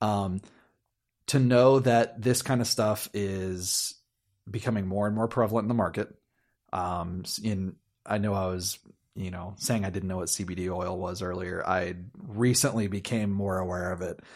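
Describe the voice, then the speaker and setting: In a very clean recording with a silent background, a man with an American accent and fairly low pitch speaks at a moderate pace with fairly even intonation, in an unremarkable speaking voice. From US. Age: 30s. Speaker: musician and friend of host. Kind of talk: casual chat.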